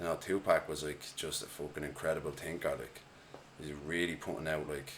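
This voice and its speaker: In an Irish accent, a man with a very deep, low voice speaks at a fairly quick pace in a monotone, flat intonation. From Ireland, Dublin. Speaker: hip-hop artist. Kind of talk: casual chat.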